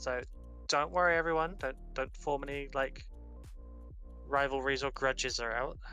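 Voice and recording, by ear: With music in the background, a man with a Yorkshire accent speaks at a fairly quick pace. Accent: Yorkshire northern English.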